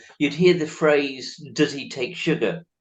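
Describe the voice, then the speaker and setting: A man with a northern English accent talks at a fairly slow pace. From northern England. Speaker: charity chief executive, interviewer. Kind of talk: interview.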